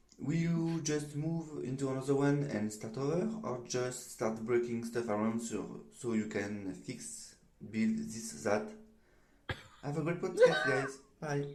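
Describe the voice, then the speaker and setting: A man speaks with a strong French accent at medium pitch. His pace is fairly slow, his intonation lively, and audible room echo surrounds him. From France. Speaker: listener leaving a voicemail. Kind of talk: voicemail message. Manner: halting.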